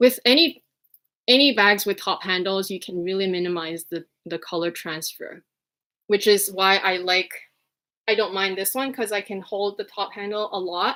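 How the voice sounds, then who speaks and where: Speaking with a slight Quebec accent, a woman uses a medium-pitched, bright, sharp tone at a moderate pace with ordinary pitch variation. The recording is very clean, with a silent background. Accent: slight Quebecois. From Quebec, Montreal. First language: French. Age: 30s. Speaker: fashion vlogger. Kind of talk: livestream chat. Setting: livestream.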